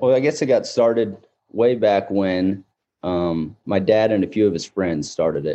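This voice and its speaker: A man speaks with an American accent at a fairly low pitch. His tone is dark and mellow, with ordinary pitch variation. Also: moderate pace. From US Midwest, Missouri near Kansas City. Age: 20s. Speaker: agriculture media entrepreneur. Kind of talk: casual interview.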